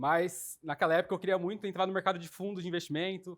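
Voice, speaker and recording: A man talks at a fairly quick pace in a high pitch, with fairly even intonation. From Brazil, São Paulo countryside (Sumaré). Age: 20s. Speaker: investor relations coordinator. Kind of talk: interview.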